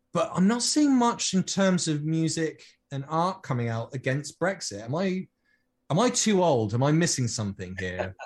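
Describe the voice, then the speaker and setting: A man with a British accent, fairly high pitch and very wide pitch swings, at a moderate pace over a quiet background. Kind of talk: casual panel discussion.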